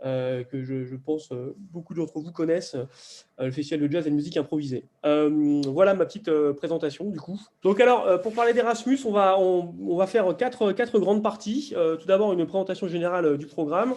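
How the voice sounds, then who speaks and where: A man's high, dark, mellow voice with lively intonation and big swings in loudness, at a fairly quick pace over a quiet background. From southern France, near Perpignan. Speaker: arts policy official, presenter. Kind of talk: webinar presentation. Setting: video call. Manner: halting, many fillers and repetitions.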